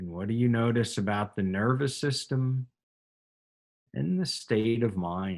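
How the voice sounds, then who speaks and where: Speaking at a fairly slow pace, a man uses lively intonation at a fairly low pitch. He has an ordinary speaking voice. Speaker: yoga and meditation teacher. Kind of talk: guided meditation and breathing instruction. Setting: online or group class session with students.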